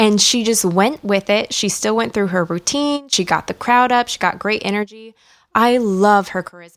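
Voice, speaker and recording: This woman has a plain, everyday voice, medium in pitch, with ordinary pitch variation and a moderate pace. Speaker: wrestling podcast guest. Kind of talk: casual chat.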